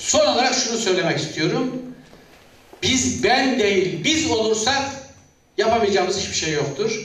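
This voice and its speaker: The speaker uses lively intonation at a fairly slow pace, with long, frequent pauses. Noticeable background noise and audible room echo fill the recording. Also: man, high pitch for a man. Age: 60s. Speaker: retired director general, confederation president. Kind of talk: public speech.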